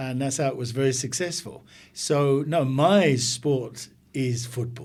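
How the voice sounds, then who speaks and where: A man with an English accent speaks at medium pitch and a fairly slow pace. His voice is somewhat breathy, with fairly even intonation. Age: 60s. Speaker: business executive. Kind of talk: casual interview.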